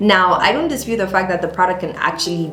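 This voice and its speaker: Her voice sits at a medium pitch. Audible room echo and noticeable background noise accompany the woman as she talks. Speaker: beauty and lifestyle youtuber. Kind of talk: casual tutorial vlog.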